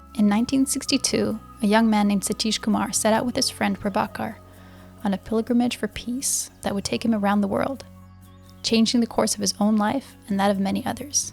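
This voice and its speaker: With music in the background, the words come at a fairly quick pace. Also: woman. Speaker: podcast host. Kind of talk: podcast introduction.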